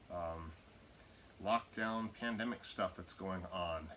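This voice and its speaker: A man's fairly low voice, with ordinary pitch variation, comes through noticeable background noise. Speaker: jiu jitsu instructor. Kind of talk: tutorial. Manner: halting, stumbles over words; casual.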